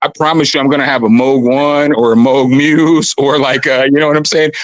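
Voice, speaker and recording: Pitched fairly high, a man speaks at a fairly quick pace with very even loudness and fairly even intonation. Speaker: rapper, livestream caller. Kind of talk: casual chat.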